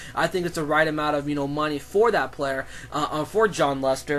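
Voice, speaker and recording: A man with a fairly high pitch, a fairly quick pace and monotone, flat intonation, music in the background. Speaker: sports commentator vlogger. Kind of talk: solo sports commentary vlog. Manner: fast; halting, many fillers and restarts.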